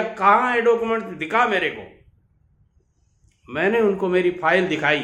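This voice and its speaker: Audible room echo surrounds this man's voice. He speaks high for a man, with a bright, sharp tone. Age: 70s. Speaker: business advice youtuber, contractor. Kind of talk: storytelling monologue.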